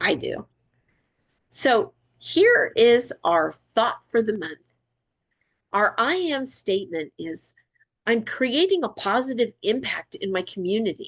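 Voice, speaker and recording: At a fairly slow pace, a woman speaks in an animated tone, with a dry, close sound and no echo. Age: 60s. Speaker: wellness product distributor. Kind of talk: training presentation.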